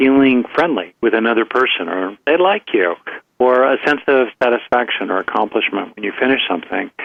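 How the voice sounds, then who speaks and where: Here a man uses a plain, everyday voice at medium pitch and a moderate pace. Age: 60s. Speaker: psychologist and author. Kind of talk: interview.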